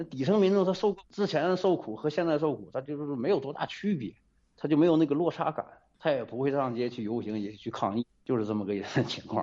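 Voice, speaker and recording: The man's voice sits at a fairly high pitch and makes very wide pitch swings. He talks at a fairly quick pace. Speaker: radio caller. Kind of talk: phone-in commentary. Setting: phone call. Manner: hesitant, frequent fillers.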